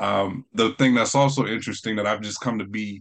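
A man with an American accent speaks at a fairly quick pace in a fairly low voice. His intonation is monotone and flat over a quiet background. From North Carolina. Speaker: spoken word poet. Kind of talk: interview. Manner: halting, many fillers.

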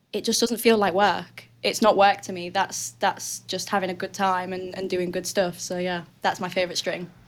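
A woman's medium-pitched voice in a strong Northern English accent, moderate in pace with hardly any pauses and fairly even intonation. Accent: thick northern English. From northern England. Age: 20s. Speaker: weightlifter and coach. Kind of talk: casual chat.

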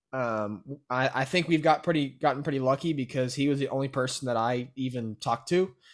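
A man with a Texan accent speaks at a medium pitch and moderate pace. The recording is very clean, with a silent background. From Texas, Brenham. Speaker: student real estate investor. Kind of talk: casual interview.

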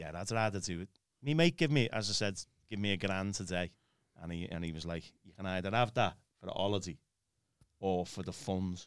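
A man's very deep, low voice at a fairly quick pace, ordinary in pitch variation, with long, frequent pauses, on a very clean recording with a silent background. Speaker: church minister. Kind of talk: casual conversation.

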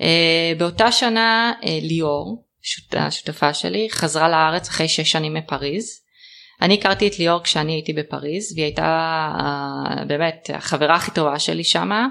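In a very clean recording with a silent background, a woman with a very deep, low pitch and a bright, sharp tone talks at a fairly slow pace with ordinary pitch variation. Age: 30s. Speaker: trend forecaster, business owner. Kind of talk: interview. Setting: host's home. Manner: hesitant, many fillers.

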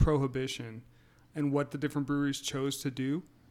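Using an ordinary speaking voice, a man with an American accent talks at a moderate pace and a fairly high pitch. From US Midwest, near St. Louis. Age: 40s. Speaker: beer tour operator and lawyer. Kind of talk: casual chat.

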